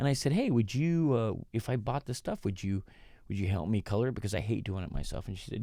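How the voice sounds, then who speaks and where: A dark, mellow tone moves at a very fast pace with very wide pitch swings. The recording is very clean, with a silent background. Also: man. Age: 60s. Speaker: podcast host. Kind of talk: casual solo monologue. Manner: halting, many fillers and restarts.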